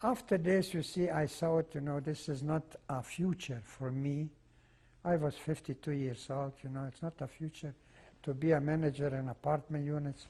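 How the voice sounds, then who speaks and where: Somewhat breathy and dark, mellow in tone, a man with a non-native accent speaks at a moderate pace, pitched fairly high with ordinary pitch variation. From Czechoslovakia. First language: not English (Czechoslovak region). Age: 80s+. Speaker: Holocaust survivor. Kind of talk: oral history testimony interview. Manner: halting, with frequent fillers.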